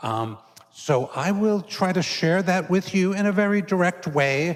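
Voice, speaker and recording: With an American accent, a man is talking. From New York City, Queens. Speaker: Jesuit priest and university professor. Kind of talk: lecture. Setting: church hall with live audience. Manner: casual, conversational with fillers.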